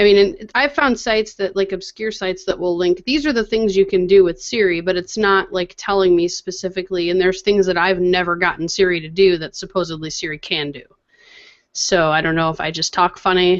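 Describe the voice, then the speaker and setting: Speaking at a fairly quick pace, a woman uses a medium pitch with ordinary variation. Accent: Midwestern. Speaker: tech podcast co-host. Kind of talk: casual chat.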